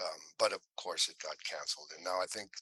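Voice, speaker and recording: With a Midwestern American accent, a man talks at a moderate pace in a dry, close sound with no echo. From Ohio, Willoughby near Cleveland. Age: 60s. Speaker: actor. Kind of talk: casual interview.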